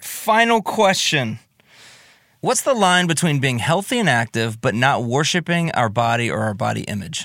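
On a very clean recording with a silent background, a man talks at a moderate pace in a bright, sharp tone with very wide pitch swings. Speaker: co-host asking listener questions. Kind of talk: casual Q&A chat. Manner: average, non-threatening voice.

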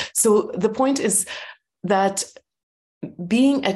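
Her voice is somewhat breathy. The woman uses ordinary pitch variation. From former Soviet Union. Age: 40s. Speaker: entrepreneur and author. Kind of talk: interview conversation.

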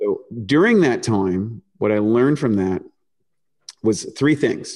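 A man's plain, everyday voice at medium pitch with lively intonation. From eastern Canada, New Brunswick. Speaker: nutritionist and supplement company founder. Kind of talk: interview.

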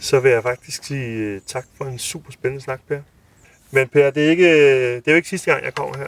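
Here a man talks in a plain, everyday voice at a moderate pace. His pitch is fairly high, with ordinary pitch variation. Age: 30s. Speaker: food podcast host. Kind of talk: interview.

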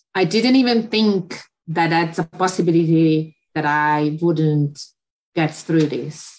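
A woman with a Hungarian accent speaks in a fairly low pitch. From Hungary. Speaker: photographer. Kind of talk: interview. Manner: halting.

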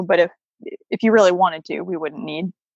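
A woman with an American accent and an ordinary speaking voice talks at a fairly quick pace in a medium pitch, with a dry, close sound and no echo. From US Midwest, Chicago. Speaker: veterinarian and homesteader. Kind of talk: casual interview.

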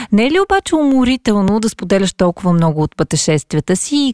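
It is a normal speaking voice, dry and close with no echo. Intonation is lively and the pace is moderate. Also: woman. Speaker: podcast host. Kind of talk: interview.

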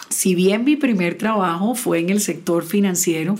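A woman has a normal speaking voice with fairly even intonation. She speaks at a fairly slow pace. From Colombian Caribbean coast (Sincelejo, Sucre). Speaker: technology industry executive. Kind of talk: casual panel conversation.

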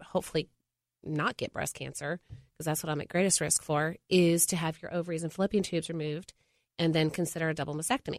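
With an ordinary speaking voice, a woman speaks at a fairly low pitch and fairly even intonation, the sound dry and close with no echo on a very clean recording against a silent background. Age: 40s. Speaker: mother. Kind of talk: casual chat. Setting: studio.

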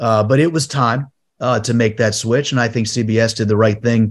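Over a quiet background, a man in a plain, everyday voice talks at a fairly quick pace and medium pitch with fairly even intonation. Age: 50s. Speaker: golf broadcaster. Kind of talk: casual chat.

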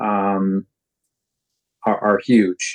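The sound is dry and close with no echo as a man talks in an American accent. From Michigan. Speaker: parenting class facilitator. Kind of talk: casual chat.

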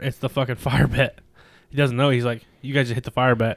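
The recording of this man's medium-pitched voice is dry and close, with no echo. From southern California. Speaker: podcast co-host. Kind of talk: casual chat. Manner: animated.

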